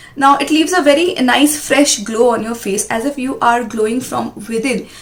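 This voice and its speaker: There is noticeable background noise as a woman speaks in a high voice with ordinary pitch variation. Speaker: beauty vlogger. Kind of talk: product review. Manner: fast.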